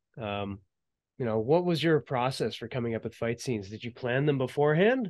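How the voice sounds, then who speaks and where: A man uses a normal speaking voice at medium pitch. He talks at a fairly quick pace with lively intonation. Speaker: interviewer and action filmmaker. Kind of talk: interview.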